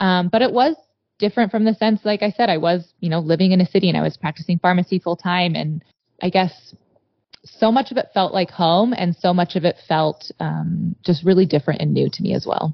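A woman with an American accent talks at a fairly quick pace. Her fairly low voice carries vocal fry and ordinary pitch variation. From US Mountain West (Montana). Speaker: pharmacist and cattle rancher. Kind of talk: casual interview. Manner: hesitant, filler-heavy.

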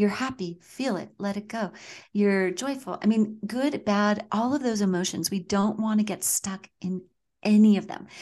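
A woman speaks at a moderate pace with a medium pitch and fairly even intonation over a quiet background. Her tone is dark and mellow, and somewhat breathy. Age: 50s. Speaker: qigong and Chinese medicine instructor. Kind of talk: interview.

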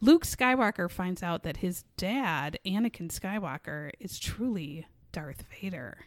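On a very clean recording with a silent background, a woman speaks at a fairly slow pace with lively intonation, the sound dry and close with no echo. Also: medium pitch for a woman. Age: 40s. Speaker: true crime podcast co-host. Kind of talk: casual chat. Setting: studio. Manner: animated.

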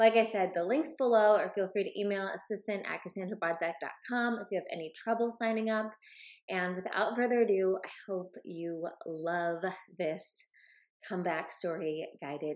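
On a very clean recording with a silent background, a woman speaks at a moderate pace. Her pitch is medium, with ordinary pitch variation. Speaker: spiritual mentor and podcast host. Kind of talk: promotional intro and outro, casual chat. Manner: enthusiastic, animated.

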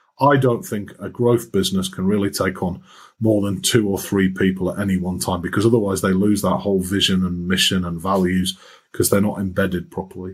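The speaker has a Yorkshire accent. The pace is fairly quick. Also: man. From Yorkshire, northern England. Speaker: finance executive and lecturer. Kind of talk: interview. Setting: remote call over the internet.

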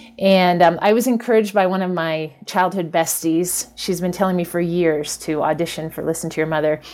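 With an unremarkable speaking voice, a woman talks at a fairly low pitch, her intonation fairly even and hardly any pauses in her speech. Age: 50s. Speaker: English teacher and memoir writer. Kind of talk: interview conversation.

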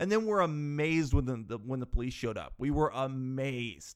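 A man talks at a moderate pace with a Canadian accent. His tone is animated. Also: very clean recording, silent background. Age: 30s. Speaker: podcast host. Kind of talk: casual monologue storytelling.

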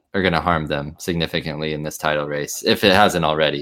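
A man at a fairly quick pace in a very clean recording with a silent background. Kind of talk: sports commentary, excited call of a goal.

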